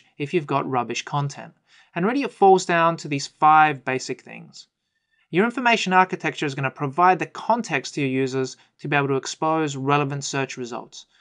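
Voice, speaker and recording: A man with a fairly high voice and an Australian accent speaks at a moderate pace with lively intonation over a quiet background. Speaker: IT consultant. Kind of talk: webinar presentation.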